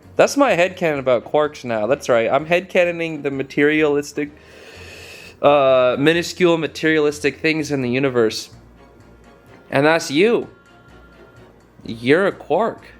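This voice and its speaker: Music plays behind a man speaking at a moderate pace. He leaves long, frequent pauses, and his pitch varies in an ordinary way. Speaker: YouTuber. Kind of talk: casual talk to camera. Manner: rambling.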